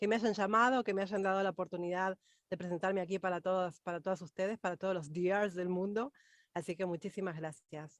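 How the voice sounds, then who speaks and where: A woman with a bright, sharp tone and medium pitch speaks at a fairly quick pace with ordinary pitch variation. The background is quiet, and the sound is dry and close with no echo. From Argentina, Buenos Aires. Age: 40s. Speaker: vocal coach. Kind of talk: interview.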